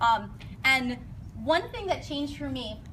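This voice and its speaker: Over noticeable background noise and audible room echo, a woman projects her raised, high-pitched voice with lively intonation. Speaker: fitness coach. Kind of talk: presentation to an audience. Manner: fast.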